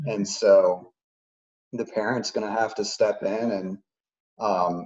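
This man has an ordinary speaking voice and an American accent. His pitch is fairly low and his intonation fairly even. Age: 30s. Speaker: former gamer sharing addiction story. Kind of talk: interview testimony.

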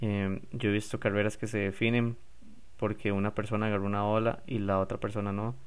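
With a Costa Rican accent, a man speaks in a fairly low, monotone, flat voice at very even loudness. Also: fairly quick pace. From Costa Rica, San José. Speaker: podcast host and stand-up paddle surfer. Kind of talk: casual solo podcast.

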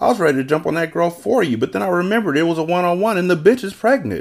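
In a put-on character voice, a man talks fast and high for a man, with vocal fry. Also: lively intonation.

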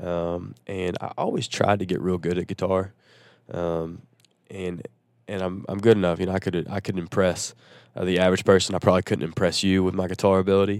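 Against a very clean, silent background, a man with a Southern US accent speaks fairly quickly in a very deep, low pitch with monotone, flat intonation. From Nashville, Tennessee. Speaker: country singer-songwriter. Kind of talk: casual interview chat. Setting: on a tour bus.

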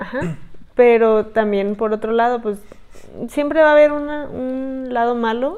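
A woman's dark, mellow tone at a fairly slow pace, with ordinary pitch variation. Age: 20s. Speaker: podcast co-host. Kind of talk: casual chat.

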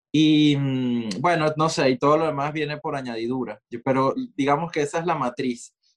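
An unremarkable speaking voice from a man, fairly high in pitch, with fairly even intonation, a moderate pace, and a dry, close sound with no echo. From Venezuela, Maracay. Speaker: multidisciplinary artist. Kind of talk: casual interview conversation.

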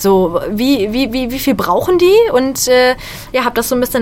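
Noticeable background noise fills the recording. A woman talks fairly quickly over it. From western Germany, Bonn. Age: 20s. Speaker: stand-up comedian. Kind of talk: casual radio interview.

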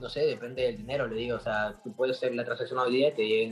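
The speech runs at a very fast pace. Noticeable background noise sits behind it. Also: man. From Peru. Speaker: graphic artist. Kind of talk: interview. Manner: casual.

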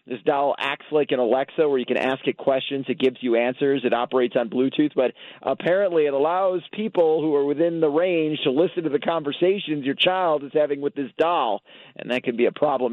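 A man's fairly high voice with ordinary pitch variation, an unremarkable speaking voice. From Chicago. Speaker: toy expert correspondent. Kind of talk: radio interview. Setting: phone call.

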